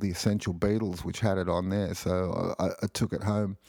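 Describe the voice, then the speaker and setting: With an Australian accent, a man speaks in a fairly low pitch with a dark, mellow tone. His intonation is monotone and flat. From Australia (Sydney). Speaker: podcast host. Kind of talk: casual solo podcast monologue. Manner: hesitant, many fillers.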